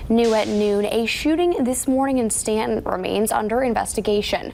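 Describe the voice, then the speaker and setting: Very even loudness at a moderate pace, with noticeable background noise. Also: woman, fairly high pitch for a woman, ordinary pitch variation. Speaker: news anchor. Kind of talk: TV news anchoring.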